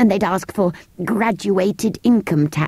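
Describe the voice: The clip consists of plain reading aloud.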